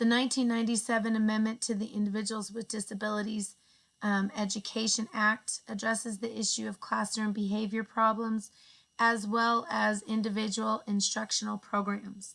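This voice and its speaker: A woman speaks at a moderate pace with a fairly high pitch and a monotone, flat intonation. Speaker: education student. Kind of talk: class presentation narration.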